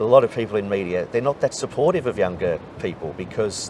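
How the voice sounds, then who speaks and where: Noticeable background noise sits behind a man talking at a fairly quick pace. His fairly low pitch rises and falls with lively intonation. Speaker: race caller. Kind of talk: interview answer. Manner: conversational, warm.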